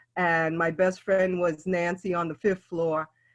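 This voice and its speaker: There's a quiet background behind a woman speaking with a New York accent. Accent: New York City. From New York City (East Harlem, South Bronx). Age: 70s. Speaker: elder storyteller. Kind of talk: oral history storytelling. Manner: halting with frequent fillers.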